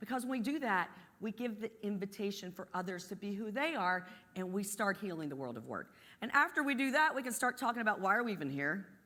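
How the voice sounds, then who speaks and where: Lively in intonation and fairly quick, a woman speaks in a medium pitch with a bright, sharp tone and an Appalachian accent. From West Virginia, US. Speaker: energy company executive. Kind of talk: motivational talk.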